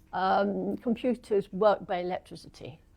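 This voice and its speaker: A woman with an English accent at a very slow pace. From England. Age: 80s+. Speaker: retired computer professional. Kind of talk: talk.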